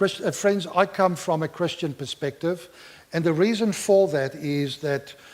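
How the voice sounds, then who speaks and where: With a non-native accent, a man speaks at a fairly slow pace and high pitch, showing ordinary pitch variation. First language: not English (English is third language). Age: 60s. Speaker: pastor and clinical therapist. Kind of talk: Q&A answer after talk.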